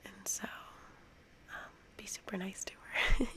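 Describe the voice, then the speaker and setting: A woman is speaking. She whispers. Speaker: ASMR creator. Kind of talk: ASMR soft-spoken tutorial. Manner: soft-spoken; hesitant with fillers.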